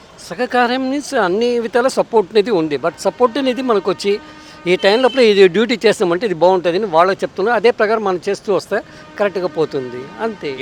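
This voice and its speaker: A man's high-pitched voice with lively intonation, dry and close with no echo, over background music. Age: 60s. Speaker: food delivery rider. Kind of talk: interview answer.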